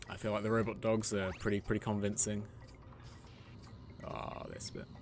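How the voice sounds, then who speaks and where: With a British accent, a man talks at a moderate pace and fairly low pitch in a monotone, flat intonation. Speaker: gaming streamer. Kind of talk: live gameplay commentary. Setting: live stream at home. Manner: casual, chatty.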